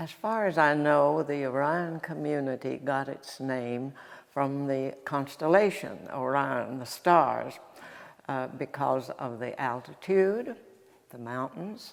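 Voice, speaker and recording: A woman with an Appalachian accent speaks very slowly at a very deep, low pitch, with ordinary pitch variation and big swings in loudness. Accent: Appalachian Southern US. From North Carolina, Ashe County. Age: 90s. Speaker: local elder. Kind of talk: oral history interview. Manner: halting.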